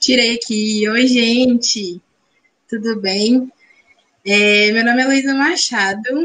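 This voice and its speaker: A woman with a fairly high pitch speaks at a very slow pace, with long, frequent pauses, very even loudness and fairly even intonation. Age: 20s. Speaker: dance teacher and pedagogue. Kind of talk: self-introduction in live panel. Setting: video call from her bedroom.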